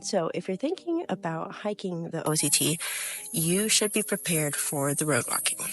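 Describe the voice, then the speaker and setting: Spoken at a moderate pace, the clip has noticeable background noise. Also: woman. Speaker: thru-hiker. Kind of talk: casual talk to camera.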